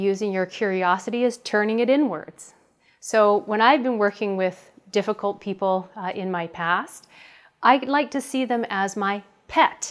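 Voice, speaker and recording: On a very clean recording with a silent background, a woman with a fairly high pitch talks in a normal speaking voice. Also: ordinary pitch variation, moderate pace. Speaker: communication coach. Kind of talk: tutorial.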